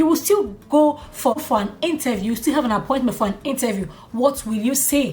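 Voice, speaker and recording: Over noticeable background noise, a woman with a high pitch talks in an animated tone with lively intonation and a fairly quick pace. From Nigeria. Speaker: YouTube vlogger. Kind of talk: casual vlog monologue. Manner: animated, conversational.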